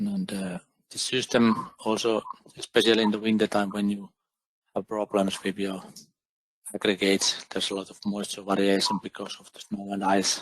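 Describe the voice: A man's fairly low voice at a moderate pace, monotone and flat, with a dry, close sound and no echo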